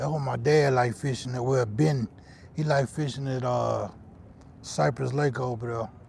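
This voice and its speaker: A man with a Louisiana accent, medium-pitched and somewhat breathy, at a moderate pace with ordinary pitch variation. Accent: Southern US, Louisiana. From northern Louisiana, Shreveport. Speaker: fishing livestreamer. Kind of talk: casual live-stream chat. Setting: outdoors on a fishing pier.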